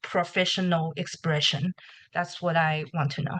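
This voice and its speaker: A woman speaks with a Chinese accent. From China. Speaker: nursing applicant. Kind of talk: question in webinar. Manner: halting.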